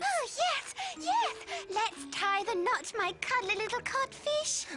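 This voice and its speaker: A cartoonish character voice, female-sounding and extremely high in pitch, at a fairly slow pace. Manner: sugary and gloating.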